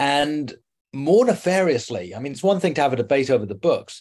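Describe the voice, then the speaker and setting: A man's medium-pitched voice, dark and mellow in tone, with very wide pitch swings against a quiet background. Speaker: journalist. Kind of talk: interview. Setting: home.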